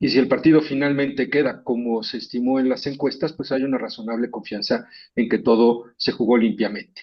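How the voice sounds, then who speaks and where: A man with a normal speaking voice, medium in pitch, at a moderate pace. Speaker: pollster and columnist. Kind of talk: panel discussion.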